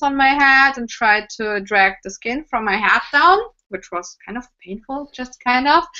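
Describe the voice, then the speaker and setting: In a German accent, a woman talks at a fairly slow pace with ordinary pitch variation. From Germany. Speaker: cosplayer and prop maker. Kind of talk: casual interview chat.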